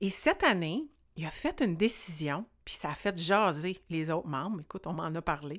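In a very clean recording with a silent background, a woman speaks at a fairly slow pace. Her intonation is lively. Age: 40s. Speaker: podcast host and life coach. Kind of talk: solo podcast monologue.

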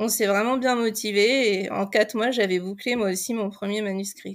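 A woman at a medium pitch with fairly even intonation, in a very clean recording with a silent background. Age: 40s. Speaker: novelist. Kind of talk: podcast interview.

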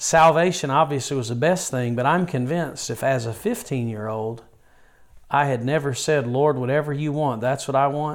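With a Southern US accent, a man talks at a moderate pace in a fairly high pitch with ordinary pitch variation. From rural North Carolina (Yadkinville). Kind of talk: interview.

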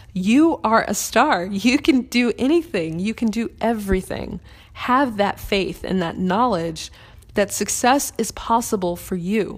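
Here is an unremarkable speaking voice: a woman with an American accent at a medium pitch. She talks at a fairly slow pace with lively intonation. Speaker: podcast host. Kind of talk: solo spiritual Q&A talk, reading a listener question then answering. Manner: warm, encouraging, conversational.

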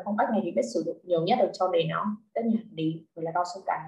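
A somewhat breathy woman's voice, medium in pitch, with fairly even intonation and a fairly quick pace. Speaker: literature tutor. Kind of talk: online lesson. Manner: halting.

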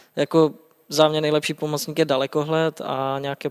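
The speech runs at a fairly quick pace. The recording is very clean and dry, with a silent background and no echo. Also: man. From Czechia, Třinec (Silesian border region). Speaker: illegal Chernobyl zone explorer and guide. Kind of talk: interview. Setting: studio.

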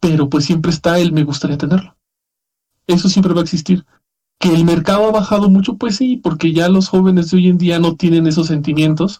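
With a Mexican accent, a man speaks at a fairly quick pace in a high pitch. His tone is dark and mellow, and his intonation stays fairly even. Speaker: podcast host. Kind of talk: casual chat.

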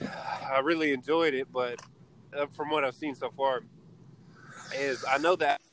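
With noticeable background noise, a man speaks at a fairly high pitch and a fairly slow pace, his intonation fairly even and his speech broken by long, frequent pauses. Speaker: podcast host. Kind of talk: casual banter between friends. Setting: in a car, driving, audio not great. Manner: laid-back, laughs often.

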